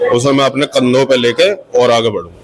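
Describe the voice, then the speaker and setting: A man is speaking. Noticeable background noise is present behind him. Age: 20s. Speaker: aspiring politician, son of honoree. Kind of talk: interview statement.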